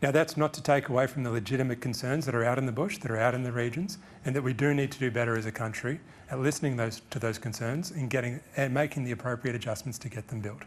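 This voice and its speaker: A man with an Australian accent, a very fast pace, medium pitch, and ordinary pitch variation. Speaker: guest speaker on energy policy. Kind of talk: press conference Q&A answers. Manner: some hesitations and self-corrections.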